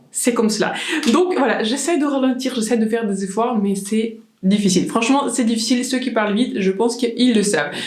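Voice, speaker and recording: A woman with a fairly high pitch talks at a fairly quick pace with ordinary pitch variation and very even loudness, in audible room echo with noticeable background noise. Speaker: beauty vlogger. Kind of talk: makeup tutorial.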